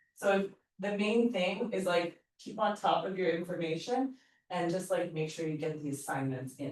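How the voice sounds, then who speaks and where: A woman with an unremarkable speaking voice, fairly low pitch, lively intonation and a moderate pace. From eastern Canada, New Brunswick. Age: 40s. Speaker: yoga teacher trainer. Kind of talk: workshop teaching talk. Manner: casual, conversational.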